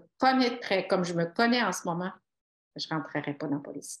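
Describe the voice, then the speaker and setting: A woman speaks with a Quebec accent. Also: very clean recording, silent background. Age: 60s. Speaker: retired police officer and author. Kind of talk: interview.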